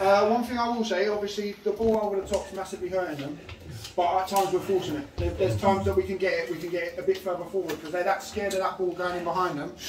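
Someone speaks at a very fast pace with audible room echo and light background noise. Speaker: football manager. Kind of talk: half-time team talk. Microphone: camera far.

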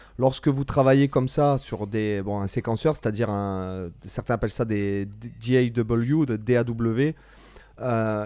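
A man speaks with a dark, mellow tone at medium pitch. His intonation is fairly even. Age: 40s. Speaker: guitar teacher and channel host. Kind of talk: casual interview chat.

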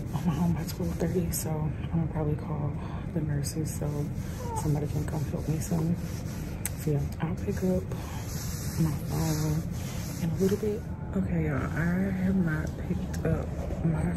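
Against loud background noise, a woman speaks at a moderate pace with long, frequent pauses. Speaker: new mother vlogger. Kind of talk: casual vlog chat. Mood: candid, slightly weary. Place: home room. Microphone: phone near.

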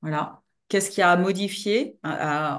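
With lively intonation, a woman talks at a moderate pace against a quiet background. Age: 50s. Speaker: trainer and coach; trainer, coach. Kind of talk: webinar presentation. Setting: online webinar. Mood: warm, engaged. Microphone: video call.

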